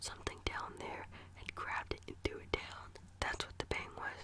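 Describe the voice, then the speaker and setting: Whispering at a moderate pace amid noticeable background noise. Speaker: ASMR creator reading scary stories. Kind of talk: whispered ASMR story reading. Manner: whispered, soft.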